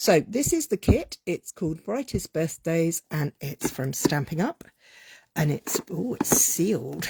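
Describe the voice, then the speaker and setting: Speaking at a very slow pace with a British accent, a woman has a very deep, low pitch, a dark, mellow tone and vocal fry, in a dry, close sound with no echo. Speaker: craft demonstrator. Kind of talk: unboxing livestream. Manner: casual, hesitant with fillers.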